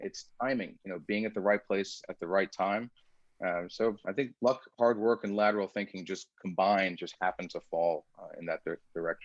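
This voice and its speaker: At a moderate pace, a man speaks with an Iranian accent, his pitch fairly low and intonation fairly even. The sound is dry and close with no echo. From United States, child of Iranian immigrants. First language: Farsi. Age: 40s. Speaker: security researcher and startup founder. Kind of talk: interview conversation. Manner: articulate.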